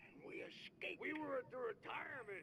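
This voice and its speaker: A man puts on a character voice at an extremely high pitch, with very wide pitch swings. He goes at a fairly quick pace over clear background noise. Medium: video game.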